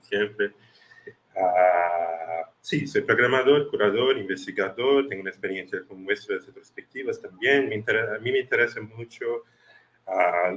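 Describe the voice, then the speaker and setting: A man speaks with big swings in loudness. His pitch varies in an ordinary way. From Brazil, Recife. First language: Portuguese (speaking Spanish). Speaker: film festival programmer. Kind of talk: online panel discussion. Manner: halting.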